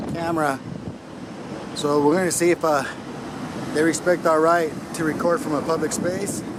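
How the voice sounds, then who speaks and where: Noticeable background noise accompanies speech delivered at a fairly quick speed. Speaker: citizen journalist doing first amendment audits. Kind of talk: casual vlog narration. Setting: outdoors. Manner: loud.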